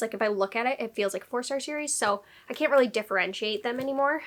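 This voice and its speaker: With an American accent, a woman speaks very fast in a high voice with ordinary pitch variation. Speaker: book reviewer. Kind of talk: casual book review.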